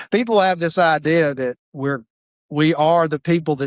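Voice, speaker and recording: A man with a Southern US accent, ordinary pitch variation, dry, close sound with no echo, and a quiet background. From Mississippi. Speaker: funeral director. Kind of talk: podcast interview.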